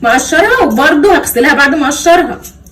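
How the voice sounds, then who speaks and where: At a moderate pace, a woman speaks in a high pitch with lively intonation. Audible room echo and noticeable background noise are present. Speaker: cooking vlogger. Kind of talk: cooking tutorial. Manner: casual, chatty.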